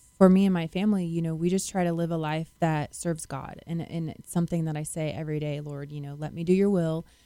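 This woman talks at a very fast pace in a dark, mellow tone with a fairly low pitch. Her intonation is fairly even, while her loudness swings widely. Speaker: nurse. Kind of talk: radio interview. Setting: studio.

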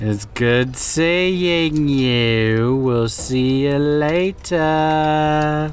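A man puts on a character voice at a fairly high pitch and a very slow pace. Clear background noise is audible.

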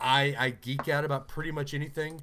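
Animated in tone, a man with a Southern US accent talks at a moderate pace. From Alabama, US South. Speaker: podcast host. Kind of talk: casual chat.

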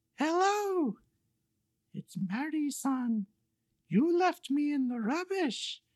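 Delivered in a high-pitched put-on character voice, the speech moves at a very slow pace with long, frequent pauses. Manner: creepy.

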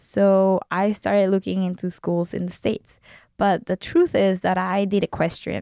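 Against a quiet background, a woman with a Mexican accent talks at a moderate pace in a dry, close sound with no echo. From Mexico. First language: Spanish. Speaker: film student. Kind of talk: casual interview.

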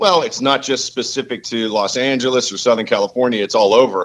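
A man speaks in an ordinary speaking voice at a medium pitch. His intonation is lively. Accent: American. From Pittsburgh, Pennsylvania. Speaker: caller. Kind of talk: call-in discussion.

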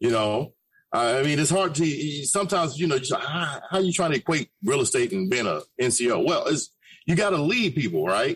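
A man with an American accent and a normal speaking voice talks at a moderate pace with lively intonation. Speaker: radio host. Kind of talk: casual chat.

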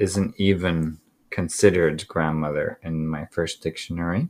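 A man speaking with fairly even intonation. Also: very clean recording, silent background. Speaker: podcast host. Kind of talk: casual chat, true crime podcast.

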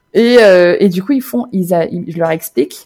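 Using a normal speaking voice, a woman talks at a moderate pace in a fairly low pitch with lively intonation. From Normandy, France. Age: 30s. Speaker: expat mother. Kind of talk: interview testimony.

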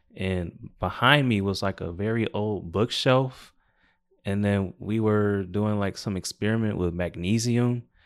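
A man with an ordinary speaking voice talks at a fairly slow pace and a fairly low pitch with fairly even intonation. The recording is very clean with a silent background. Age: 20s. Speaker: podcast guest living with epilepsy. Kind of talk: casual chat.

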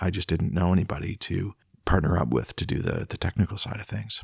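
A man's very deep, low voice with vocal fry, ordinary pitch variation and a Canadian accent, dry and close with no echo. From Ontario, Canada (Peterborough). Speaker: songwriter and music producer. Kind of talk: casual interview chat. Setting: at the host's home.

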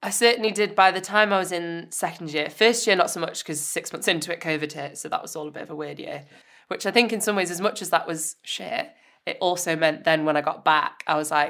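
In a very clean recording with a silent background, a woman uses a normal speaking voice, fairly low-pitched, at a fairly quick pace, with ordinary pitch variation and big swings in loudness. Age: 20s. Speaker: camera assistant. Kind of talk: casual chat.

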